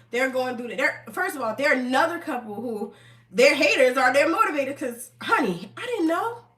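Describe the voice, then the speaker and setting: Amid noticeable background noise, a woman with an American accent talks at a fairly quick pace in an animated tone, her high pitch making very wide swings. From New Jersey, US. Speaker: online commentator. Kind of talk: casual live stream commentary. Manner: fast.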